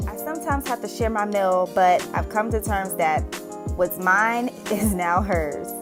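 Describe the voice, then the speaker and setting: A woman with an American accent talks at a moderate pace while music plays in the background. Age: 20s. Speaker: single mother and caregiver. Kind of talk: vlog voice-over narration.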